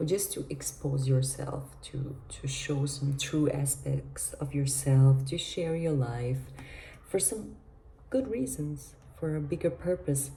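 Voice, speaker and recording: A quiet woman at a very slow pace, with audible room echo. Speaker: vlogger. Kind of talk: casual monologue vlog. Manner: speaking quietly; halting.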